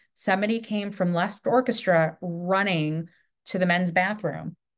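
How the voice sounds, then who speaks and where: A woman speaks in a fairly low pitch with ordinary pitch variation. The background is quiet. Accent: New York. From New York. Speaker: theatre director and podcast host. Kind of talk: casual interview chat.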